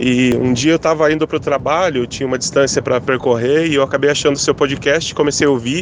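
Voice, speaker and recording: A man with a fairly high pitch speaks at a fairly quick pace with fairly even intonation over noticeable background noise. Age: 30s. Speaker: listener, bank manager. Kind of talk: voice message testimony. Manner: halting.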